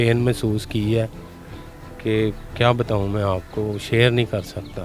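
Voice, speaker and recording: Music in the background beneath a male voice of medium pitch. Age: 30s. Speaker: graveyard keeper. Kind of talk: interview answer.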